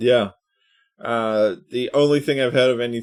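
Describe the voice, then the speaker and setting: At a moderate pace, a speaker with an Australian accent is heard on a very clean recording with a silent background. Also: man. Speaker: podcast host. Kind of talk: casual chat.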